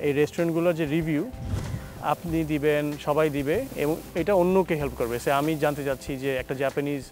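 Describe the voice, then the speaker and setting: Clear music plays in the background of a dry recording with no echo. The intonation stays fairly even. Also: man. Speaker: guest. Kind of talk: interview answer. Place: garden. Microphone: lapel.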